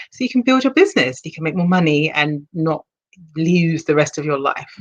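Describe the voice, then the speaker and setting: A woman with a British accent, fairly low in pitch, with lively intonation. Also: moderate pace. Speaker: HR consultant and leadership coach. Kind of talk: casual interview.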